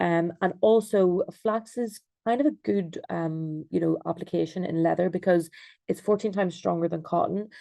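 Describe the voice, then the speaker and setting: A woman speaks in an Irish accent at a fairly low pitch. Her tone is dark and mellow over a quiet background. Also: ordinary pitch variation, moderate pace. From Ireland. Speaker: textile designer and researcher. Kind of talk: online presentation. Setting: video call. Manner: hesitant, many ums.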